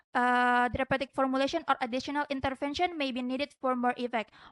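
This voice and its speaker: Speaking in an Indonesian accent with fairly even intonation, this voice has a dry, close sound with no echo over a quiet background. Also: woman. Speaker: medical student researcher. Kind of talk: conference presentation; Q&A answer. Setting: conference with judges. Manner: halting.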